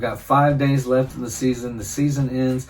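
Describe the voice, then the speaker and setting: With music in the background, a man speaks at a medium pitch and a fairly quick pace. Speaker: hunting channel host. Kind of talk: casual vlog narration. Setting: deer stand outdoors.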